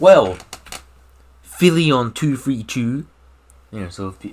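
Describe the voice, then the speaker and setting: Speaking with a Scottish accent, a man uses a medium pitch and lively intonation at a fairly slow pace. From Scotland. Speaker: gaming YouTuber. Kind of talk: casual Q&A monologue. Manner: animated.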